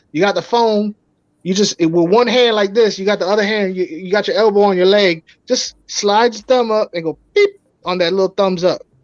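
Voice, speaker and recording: Animated and quick, a man with a New York accent talks at a fairly quick pace in a high pitch. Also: dry, close sound with no echo. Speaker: aquarium fish YouTube live streamer. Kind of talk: casual chat on live stream.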